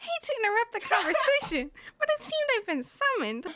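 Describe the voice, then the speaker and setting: A put-on character voice races along at a very fast pace, extremely high in pitch with very wide swings. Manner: polite, interrupting, mock-formal.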